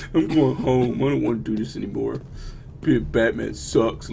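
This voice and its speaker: Over clear background noise, a man puts on a character voice, whiny with a sad, whiny tone, at a moderate pace. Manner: sad, whiny, dejected.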